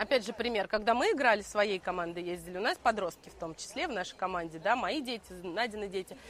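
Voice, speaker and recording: A woman talks at a very fast pace. She hardly pauses at all. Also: medium pitch for a woman, ordinary pitch variation. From Russia, Moscow. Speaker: financier and quiz organizer. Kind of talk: casual talk at a live event. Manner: halting, many fillers.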